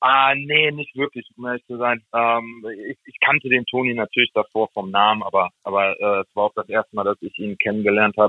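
Speaking at a fairly quick pace with hardly any pauses, a man at medium pitch keeps a fairly even intonation while his loudness swings widely. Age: 20s. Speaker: ice hockey player. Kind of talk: interview. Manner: halting, many fillers.

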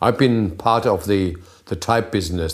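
A man's fairly low voice with a German accent and ordinary pitch variation. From northern Germany. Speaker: type designer. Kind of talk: casual chat. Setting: home kitchen.

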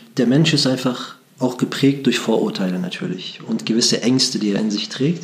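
This man's medium-pitched voice moves fairly quickly, with noticeable noise in the background. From Germany, Bremen. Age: 40s. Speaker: imam and interfaith dialogue worker. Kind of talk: interview.

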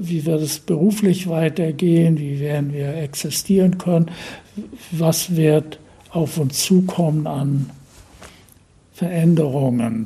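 A man with a fairly high pitch talks at a very slow pace, leaving long, frequent pauses, his intonation fairly even. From northeastern Germany, Usedom island (born Berlin). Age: 80s+. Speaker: painter. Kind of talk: interview. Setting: his home near the beach. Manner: halting.

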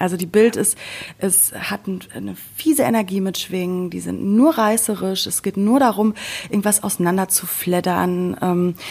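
A woman speaks at a medium pitch with ordinary pitch variation and a moderate pace. It is an ordinary speaking voice. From Sauerland, western Germany. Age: 30s. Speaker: podcast co-host. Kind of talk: casual chat.

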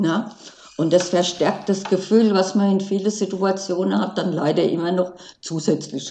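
Speaking with medium pitch, a woman keeps her intonation fairly even and her pace moderate. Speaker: wheelchair user and accessibility activist. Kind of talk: interview. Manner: halting with many fillers.

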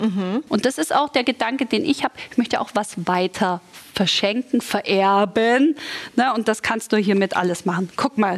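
An animated woman's voice, fairly high in pitch, with ordinary pitch variation, a moderate pace and very even loudness. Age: 40s. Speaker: model and TV presenter, mother of two. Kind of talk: sponsored casual chat about tidying kids' rooms. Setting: studio set styled as a children's room.

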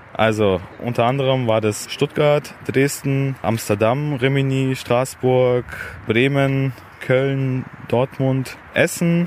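Very even loudness and fairly even intonation at a very slow pace, over noticeable background noise. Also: man, medium pitch for a man. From Allgäu, Bavaria, Germany. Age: 20s. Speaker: car owner at a club meetup. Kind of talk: casual interview.

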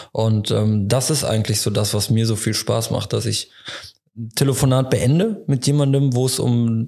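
This man has a dark, mellow tone at a medium pitch. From Leverkusen area, western Germany. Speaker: insurance broker. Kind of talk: casual interview.

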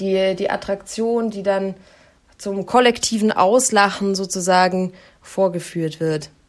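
A woman speaks at a very slow pace with a medium pitch and fairly even intonation. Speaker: podcast co-host, news presenter. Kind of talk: casual chat. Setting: on holiday abroad, remote recording.

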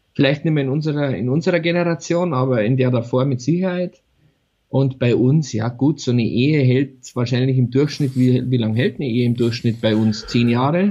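A man with a dark, mellow tone at a medium pitch, fairly quick pace and ordinary pitch variation. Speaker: podcast co-host. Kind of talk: casual chat. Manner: animated, laughing often.

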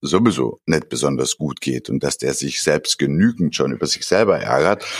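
Vocal fry in a dry, close sound with no echo. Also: man. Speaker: podcast co-host, business consultant. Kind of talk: casual chat.

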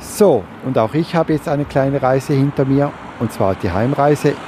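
The speaker keeps a moderate pace with ordinary pitch variation. Noticeable background noise is present. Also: man. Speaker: podcast host, blind. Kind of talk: podcast interview and product review. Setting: recording on the move, walking home.

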